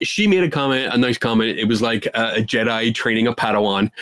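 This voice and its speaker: This man speaks at a medium pitch with a Philadelphia accent. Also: dry, close sound with no echo. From Philadelphia, US. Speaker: skeptic investigator. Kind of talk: podcast interview.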